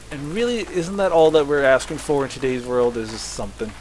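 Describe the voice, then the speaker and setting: An American-accented man against noticeable background noise. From US, Southern Maryland. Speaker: gaming YouTuber. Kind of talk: let's play commentary. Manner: casual, animated.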